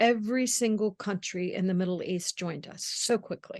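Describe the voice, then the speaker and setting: A woman with a medium-pitched voice and ordinary pitch variation sounds dry and close, with no echo and a quiet background. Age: 60s. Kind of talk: interview. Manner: animated.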